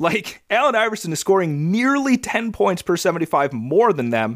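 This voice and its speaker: A man with a high pitch and very wide pitch swings at a moderate pace, on a very clean recording with a silent background. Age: 20s. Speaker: basketball analyst co-host. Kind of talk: casual chat.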